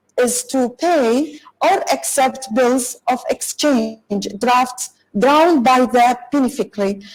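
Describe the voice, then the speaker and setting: A woman with a high pitch speaks at a very slow pace. Her loudness stays very even, and her pitch varies in an ordinary way. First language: Arabic. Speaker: corporate lawyer and speaker. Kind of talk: online conference talk. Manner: halting, many fillers and restarts; apologetic.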